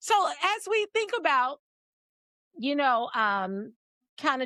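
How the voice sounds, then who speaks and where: The woman sounds dry and close, with no echo at all. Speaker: podcast host. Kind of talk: interview conversation. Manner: loud.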